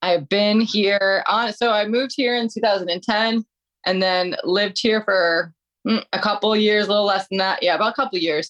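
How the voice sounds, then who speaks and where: A woman with an American accent and an unremarkable speaking voice talks at a moderate pace and medium pitch, with fairly even intonation and very even loudness, in a dry, close sound with no echo. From Detroit, Michigan. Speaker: metal singer and personal trainer. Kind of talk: casual chat.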